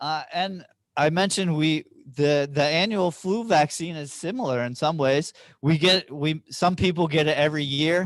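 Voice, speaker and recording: Fairly high pitch for a man, ordinary pitch variation, and a moderate pace. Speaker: health trainer. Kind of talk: training presentation with Q&A. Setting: training room with online participants. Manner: halting, many repetitions.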